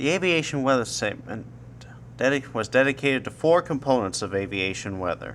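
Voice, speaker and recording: The speaker is a man with a medium pitch and vocal fry. He keeps a moderate pace. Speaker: college student. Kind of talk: explanatory talk to camera. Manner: hesitant, some stuttering.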